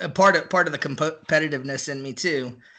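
The speaker has a Texan accent and a bright, sharp tone with fairly even intonation. The background is quiet. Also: man. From Central Texas (near Austin). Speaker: barbecue enthusiast. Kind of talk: casual chat.

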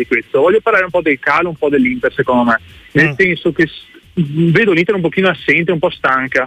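Music plays behind a man talking at a very fast pace. His intonation is lively, and the sound is dry and close with no echo. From Padua, northern Italy. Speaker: caller, Inter fan. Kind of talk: radio phone-in call.

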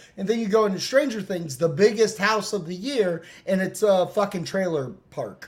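A man speaks loudly at a high pitch and a moderate pace. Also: ordinary pitch variation. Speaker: podcast host.

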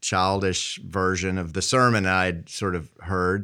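A man speaks with an Appalachian accent in a very deep, low pitch. The recording is very clean, with a silent background. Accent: Appalachian Southern American. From US South, southwestern Virginia. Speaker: Methodist pastor. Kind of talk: interview conversation.

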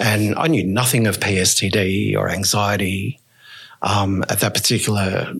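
With an Australian accent, a man talks at a fairly low pitch. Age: 50s. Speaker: person who injects drugs. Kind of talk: interview, personal story.

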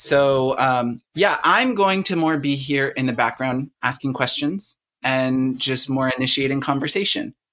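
This man has a fairly high pitch and a bright, sharp tone, sounding enthusiastic with ordinary pitch variation. He talks at a fairly slow pace with hardly any pauses over a quiet background. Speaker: podcast host. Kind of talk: panel discussion.

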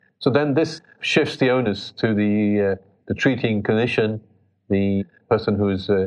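With a British accent, a man speaks at a fairly low pitch with ordinary pitch variation. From England (British Pakistani). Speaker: pediatric intensive care doctor. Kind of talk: interview. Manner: halting.

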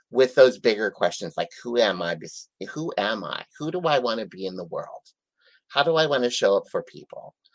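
Recorded dry and close with no echo, a man with an American accent speaks at a moderate pace, his loudness swinging widely. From US Midwest, South Dakota. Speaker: life coach. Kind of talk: interview.

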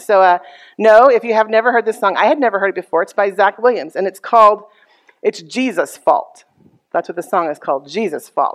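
In a plain, everyday voice, a woman with an American accent talks at a fairly quick pace and medium pitch, with ordinary pitch variation and a dry, close sound with no echo. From Texas. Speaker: pastor. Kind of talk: sermon.

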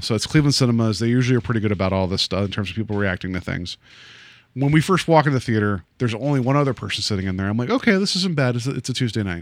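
A man speaks at a very fast pace with a medium pitch. His intonation is lively. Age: 40s. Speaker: podcast host. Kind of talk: casual chat. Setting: studio.

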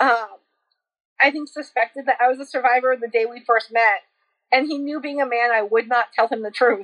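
In an American accent, a woman talks at a high pitch and a fairly quick pace. Her intonation stays fairly even. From US New England, small town. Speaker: social work graduate student and abuse survivor. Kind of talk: personal testimony in interview.

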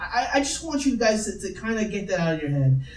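A man's high-pitched voice makes very wide pitch swings over noticeable background noise. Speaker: podcast host. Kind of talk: casual chat. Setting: home recording, poor mic pickup.

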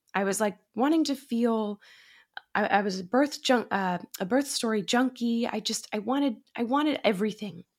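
With an American accent, a woman uses an ordinary speaking voice at a fairly high pitch and moderate pace, with ordinary pitch variation, on a very clean recording with a silent background. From Massachusetts. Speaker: actor and podcast host. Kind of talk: interview conversation.

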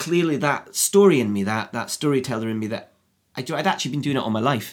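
Speaking with an Edinburgh accent, a man talks at a very fast pace with ordinary pitch variation. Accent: Scottish (Edinburgh). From Scotland, Edinburgh. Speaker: screenwriter. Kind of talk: casual interview chat. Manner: halting, many fillers.

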